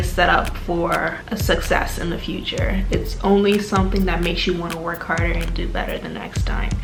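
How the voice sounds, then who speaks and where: A woman talks at a fairly quick pace amid audible room echo, with music in the background. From Turks and Caicos Islands, Caribbean. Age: 20s. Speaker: medical student vlogger. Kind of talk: personal vlog monologue.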